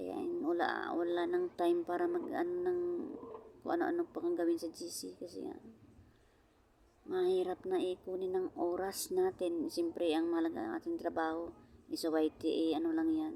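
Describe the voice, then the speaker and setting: At a moderate pace, a woman talks in a soft-spoken way. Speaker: vlogger, overseas Filipino worker. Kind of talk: casual vlog chat. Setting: outdoors at a beach. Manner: soft-spoken, quiet voice; halting, many fillers.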